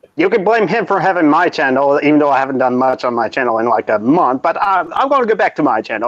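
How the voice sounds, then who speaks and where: With an American accent, a man talks at a very fast pace in a fairly high pitch with very wide pitch swings. Noticeable background noise sits behind his voice. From United States. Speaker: YouTuber. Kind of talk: casual chat.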